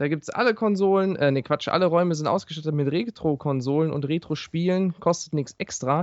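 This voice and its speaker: Talking at a fairly quick pace, a man speaks with a Ruhr accent. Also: fairly high pitch for a man, ordinary pitch variation. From Ruhr area, near Duisburg. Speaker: gaming podcast co-host. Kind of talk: casual chat.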